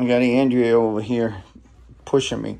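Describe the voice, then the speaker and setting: The voice is a man's. He talks at a moderate pace. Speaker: travel vlogger. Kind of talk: casual vlog chat. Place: home room. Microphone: phone near.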